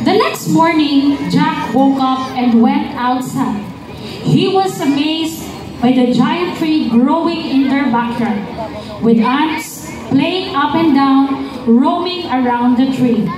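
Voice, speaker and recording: A woman's high voice, very slow and very even in loudness, with ordinary pitch variation, audible room echo and noticeable background noise. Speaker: event narrator. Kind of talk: narrated story reading. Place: street. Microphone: pa.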